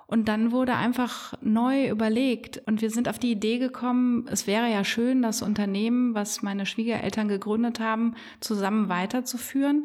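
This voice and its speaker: With hardly any pauses, a woman speaks at a moderate pace and a fairly high pitch, her intonation monotone and flat and her loudness very even. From Germany, Bonn (Rhineland). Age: 40s. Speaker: business owner and carnival figure. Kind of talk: casual interview.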